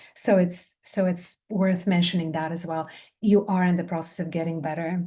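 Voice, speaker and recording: Somewhat breathy and dark, mellow in tone, a woman speaks at a moderate pace with a fairly low pitch. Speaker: somatic movement teacher and trainer. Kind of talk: online training session feedback. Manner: animated.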